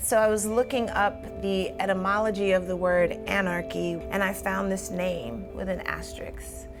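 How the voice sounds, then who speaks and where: With hardly any pauses, a woman talks over music in the background. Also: moderate pace. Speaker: poet. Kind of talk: interview answer.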